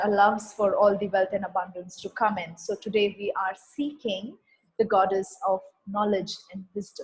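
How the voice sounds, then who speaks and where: Here is an unremarkable speaking voice. It moves at a fairly slow pace. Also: woman. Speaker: spiritual healing facilitator. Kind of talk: online healing session talk.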